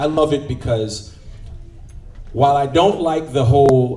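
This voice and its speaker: A man with a slight Jamaican accent speaks in an animated tone, with audible room echo and noticeable background noise. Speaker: event host. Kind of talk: event emceeing. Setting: luncheon event with audience.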